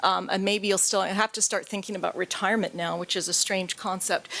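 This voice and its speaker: There is noticeable background noise as a woman talks with a Canadian accent. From Canada. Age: 50s. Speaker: patient advocate. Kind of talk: conference talk.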